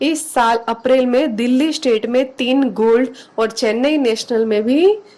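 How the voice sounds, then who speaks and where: The woman's voice sits high in pitch and moves with ordinary pitch variation. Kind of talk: news narration.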